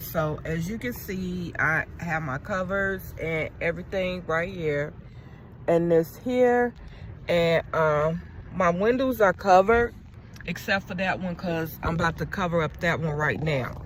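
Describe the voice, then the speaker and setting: This woman has a fairly low pitch and a somewhat breathy sound. She talks at a very slow pace with ordinary pitch variation. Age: 40s. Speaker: vlogger. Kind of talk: casual vlog talk to camera. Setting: inside a car at night. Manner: halting, with fillers.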